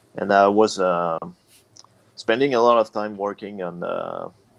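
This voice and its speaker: A man speaks with a Quebec accent at a fairly low pitch. His intonation stays fairly even. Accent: Québécois French accent in English. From Quebec, Canada. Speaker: metal band vocalist and guitarist. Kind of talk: casual interview. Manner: halting.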